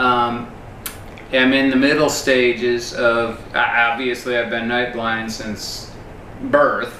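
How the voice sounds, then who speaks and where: A man at a very slow pace, monotone and flat in intonation, amid noticeable background noise and audible room echo. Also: medium pitch for a man. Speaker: YouTube host, interviewer. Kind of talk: casual interview. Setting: in a kitchen at a home. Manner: loud and clear.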